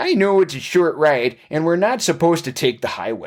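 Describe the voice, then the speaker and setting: Adopting a put-on character voice, a man pitches it fairly high. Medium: read story. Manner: folksy, friendly, over-earnest.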